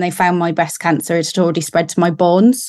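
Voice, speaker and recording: The speaker is a woman of medium pitch. The background is quiet. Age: 30s. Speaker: lawyer, breast cancer patient. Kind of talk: testimony. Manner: hesitant, many ums.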